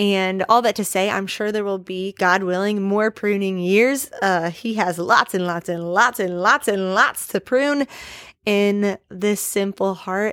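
Using a plain, everyday voice, a woman speaks with an American accent at a medium pitch and with fairly even intonation. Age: 20s. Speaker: podcast host. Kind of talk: casual devotional monologue.

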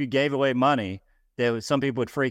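Very fast speech from a man with an American accent, fairly even intonation, a dry, close sound with no echo and a quiet background. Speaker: real estate team leader and co-founder. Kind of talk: casual chat.

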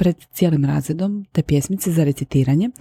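A woman's fairly low, somewhat breathy voice carries a dark, mellow tone in a dry, close sound with no echo. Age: 40s. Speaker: podcast host. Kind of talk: personal monologue. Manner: casual, conversational with English phrases.

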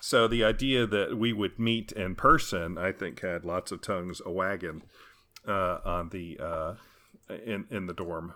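A man with an American accent speaks at a moderate pace in a fairly low pitch, his tone bright and sharp with ordinary pitch variation, on a very clean recording with a silent background. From US South, small-town Arkansas. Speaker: podcast listener. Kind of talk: casual chat.

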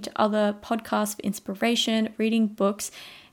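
A woman with an Australian accent and a fairly high voice is heard in a very clean recording with a silent background. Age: 20s. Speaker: podcast host, university student. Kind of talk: casual solo podcast monologue.

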